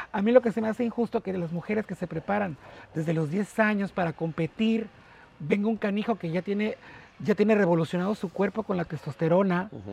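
A high-pitched man's voice, fairly quick, with ordinary pitch variation and a dry, close sound with no echo. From Mexico, port of Veracruz. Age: 40s. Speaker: port worker and online radio host. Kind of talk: interview conversation.

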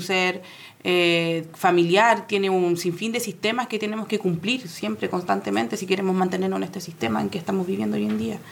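An ordinary speaking voice, a woman at medium pitch and a moderate pace. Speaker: social worker. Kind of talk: panel discussion.

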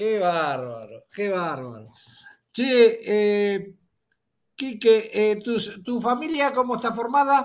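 A man speaks in a high pitch with lively intonation. His pace is very slow, broken by long, frequent pauses. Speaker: podcast host. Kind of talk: casual chat.

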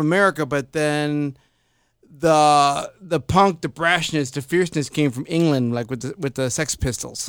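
A man with a fairly high pitch has an ordinary speaking voice with ordinary pitch variation at a moderate pace. The recording is very clean, with a silent background. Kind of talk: casual podcast interview.

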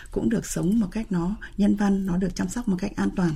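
Her intonation lively, a woman talks at a very fast pace with a medium pitch. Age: 60s. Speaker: researcher and center director. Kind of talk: radio interview discussion.

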